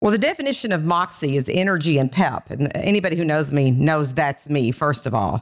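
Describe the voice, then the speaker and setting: In an Appalachian accent, a woman talks at a moderate pace with very wide pitch swings. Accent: Kentucky Appalachian, noticeable. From Kentucky. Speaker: skincare company founder and CEO. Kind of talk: casual interview chat.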